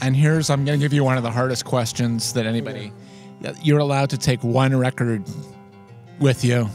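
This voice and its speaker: The speech moves at a fairly quick pace, with very even loudness and fairly even intonation. Long, frequent pauses break it up, and music plays in the background. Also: man, medium pitch for a man. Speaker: interview host. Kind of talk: interviewer questions. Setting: outdoors.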